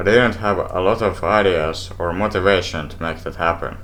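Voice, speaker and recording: In a room with audible echo, a man with a Finnish accent talks at a moderate pace and a fairly low pitch. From Finland. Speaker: YouTuber, game reviewer. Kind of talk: scripted review.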